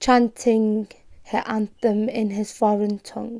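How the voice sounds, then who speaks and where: Very slow and monotone, a woman speaks in a Liverpool accent at a fairly high pitch, her tone dark and mellow. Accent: Scouse. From Liverpool, England. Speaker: poet and performance artist. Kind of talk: poetry reading. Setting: home bedroom.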